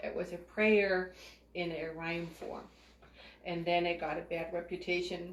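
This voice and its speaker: Over noticeable background noise and audible room echo, a woman with a fairly low pitch talks in a monotone, flat way, leaving long, frequent pauses. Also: fairly slow pace. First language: not English. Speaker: spiritual group leader and psychic reader. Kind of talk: spiritual teaching talk.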